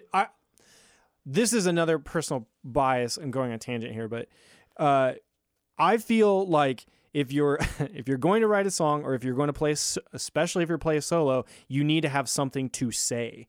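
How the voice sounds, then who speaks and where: In a Midwestern American accent, a man with a fairly high pitch and lively intonation talks at a moderate pace with long, frequent pauses on a very clean recording with a silent background. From Lincoln, Nebraska. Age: 30s. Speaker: music producer. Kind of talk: casual chat. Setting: home studio.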